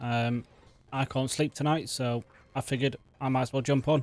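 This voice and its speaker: A quiet man's medium-pitched voice over background music. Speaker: gaming streamer. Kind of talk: let's play commentary. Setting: at home at night. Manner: not animated.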